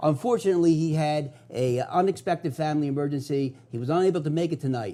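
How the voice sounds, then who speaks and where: In a Philadelphia accent, a man speaks at a fairly quick pace with a dark, mellow tone. His pitch is fairly high, with ordinary pitch variation. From US Northeast, South Philadelphia. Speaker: TV host, paranormal investigator. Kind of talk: TV show monologue. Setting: TV studio.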